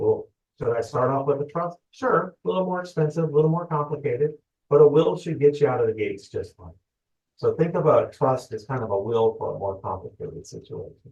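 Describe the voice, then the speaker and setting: This man talks at a fairly quick pace, his loudness swinging widely. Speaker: loan officer. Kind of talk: webinar presentation. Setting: online webinar. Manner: fast.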